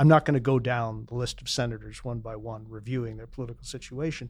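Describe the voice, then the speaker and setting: The delivery is at a fairly quick pace with ordinary pitch variation. It is an unremarkable speaking voice. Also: man. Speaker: panelist.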